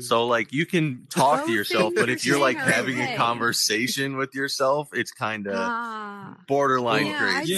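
The intonation is lively and the pace fairly slow, with hardly any pauses. Noticeable background noise sits underneath. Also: man. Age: 20s. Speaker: podcast host.

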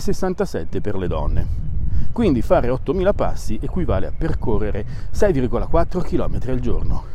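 Swinging through very wide pitch changes, a man with a fairly high voice talks over noticeable background noise in a room with audible echo. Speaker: science podcast host. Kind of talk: scripted narration. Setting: outdoors. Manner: walking while talking.

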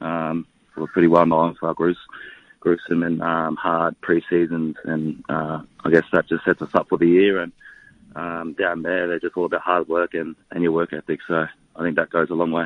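With an Australian accent, a man speaks in a very deep, low, monotone voice at a moderate pace, recorded dry and close with no echo. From Bundaberg, Queensland, Australia (moved from New Zealand as child). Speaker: professional rugby league player. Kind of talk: radio interview. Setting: phone call.

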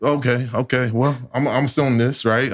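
With an American accent and a normal speaking voice, a man talks at moderate pace and medium pitch with ordinary pitch variation, recorded very cleanly over a silent background. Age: 30s. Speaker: community organizer. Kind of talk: casual chat.

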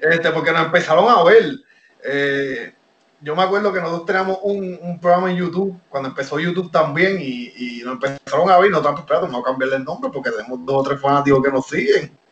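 A high-pitched man at a very fast pace, with ordinary pitch variation. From Puerto Rico. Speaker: professional wrestler. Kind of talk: interview.

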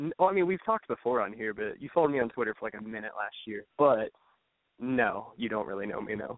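Very fast speech in a Midwestern American accent, with lively intonation. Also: man, medium pitch for a man. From Cleveland, Ohio. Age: 20s. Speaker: caller. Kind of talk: call-in advice conversation. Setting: phone call.

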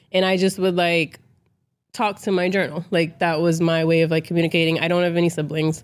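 With an American accent, a woman talks at a fairly quick pace in a fairly low, monotone voice whose loudness stays very even. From Boston, Massachusetts. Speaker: author and poet. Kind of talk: casual interview chat.

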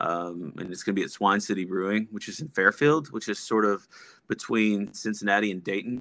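At a fairly quick pace, a man with an American accent speaks in a normal speaking voice, with ordinary pitch variation and big swings in loudness. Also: fairly low pitch for a man. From Texas. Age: 30s. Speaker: music promoter and record label owner. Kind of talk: casual chat.

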